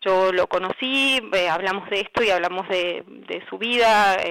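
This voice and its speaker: A woman of medium pitch speaks fairly slowly with fairly even intonation, the sound dry and close with no echo. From Argentina, Zárate (Buenos Aires province). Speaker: journalist. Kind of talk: interview about her article. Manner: halting, many fillers.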